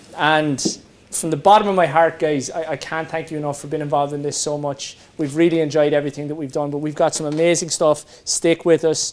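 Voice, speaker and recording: A man with an Irish accent speaks fairly quickly at a fairly high pitch in a monotone, flat intonation, with noticeable background noise. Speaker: event host and interviewer. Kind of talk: fundraiser hosting and interview.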